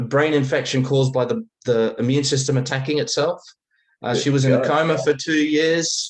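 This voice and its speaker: Somewhat breathy and fairly high-pitched, a man speaks at a fairly quick pace with ordinary pitch variation and very even loudness. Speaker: recovering alcoholic, father. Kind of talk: interview answer. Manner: hesitant, halting.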